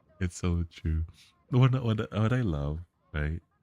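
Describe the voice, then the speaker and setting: Quietly and at a very slow pace, a man speaks with a very deep, low pitch and ordinary pitch variation. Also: dry, close sound with no echo. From Canada. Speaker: game streamer. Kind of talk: casual live-stream chat. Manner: quiet, lowered voice; halting, repeats words.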